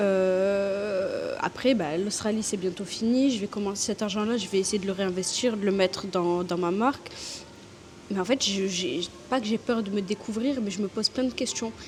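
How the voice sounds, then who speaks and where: A soft-spoken woman talks at a fairly slow pace with a medium pitch and ordinary pitch variation. Noticeable background noise sits behind her voice. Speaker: content creator and small brand owner. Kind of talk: casual vlog monologue. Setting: restaurant. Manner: hesitant with fillers.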